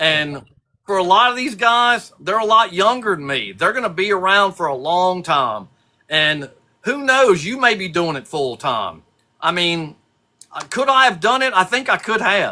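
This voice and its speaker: At a moderate pace, a man projects a raised, high-pitched voice with a bright, sharp tone and very wide pitch swings. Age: 60s. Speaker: custom lure painter. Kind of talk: casual chat.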